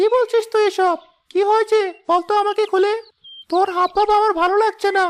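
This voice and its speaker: This is a cartoonish character voice with an extremely high pitch. It moves at a moderate pace. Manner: bantering, familiar.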